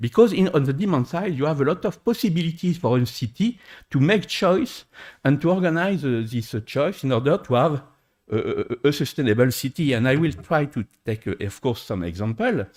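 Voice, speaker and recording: A somewhat breathy man with a French accent, fairly high in pitch, at a moderate pace with very wide pitch swings, on a very clean recording with a silent background. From France. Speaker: engineer, conference panelist. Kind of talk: conference panel talk. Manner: halting, many hesitations.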